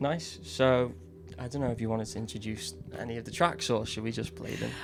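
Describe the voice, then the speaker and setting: A man talks at a fairly quick pace with lively intonation, and audible room echo surrounds his voice. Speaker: podcast host. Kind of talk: casual chat. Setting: studio.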